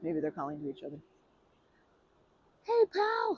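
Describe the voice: A woman puts on a character voice, low-pitched with a slightly husky edge, moving at a fairly slow pace through very wide pitch swings, the sound dry and close with no echo.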